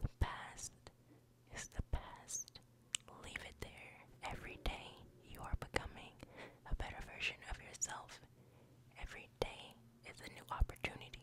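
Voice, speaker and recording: The woman's words come in a whisper at a moderate speed. Her pauses are long and frequent. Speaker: ASMR creator. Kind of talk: ASMR positive affirmations. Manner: whispered, soft. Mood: soothing and reassuring. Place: home room. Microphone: studio mic.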